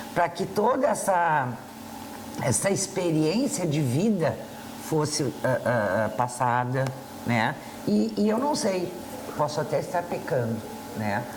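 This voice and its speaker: Her very deep, low pitch swings very widely while her loudness stays very even, and she speaks at a very slow pace with long, frequent pauses. Noticeable background noise and audible room echo fill the recording of this woman. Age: 60s. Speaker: TV talk show co-host and school counselor. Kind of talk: casual talk show chat. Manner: hesitant, with fillers.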